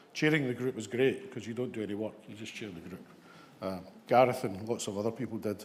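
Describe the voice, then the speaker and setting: A man with a West of Scotland accent. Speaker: ambulance service leader. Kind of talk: conference talk. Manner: hesitant, many fillers.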